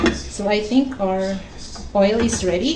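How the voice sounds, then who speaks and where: A woman talks fairly slowly while noticeable noise fills the background. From Philippines. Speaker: cooking YouTuber. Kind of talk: cooking tutorial. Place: kitchen. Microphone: phone near.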